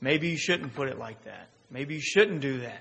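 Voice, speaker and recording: Amid noticeable background noise and audible room echo, a man speaks fairly slowly at a fairly high pitch with ordinary pitch variation. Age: 30s. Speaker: pastor. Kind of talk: sermon. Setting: church.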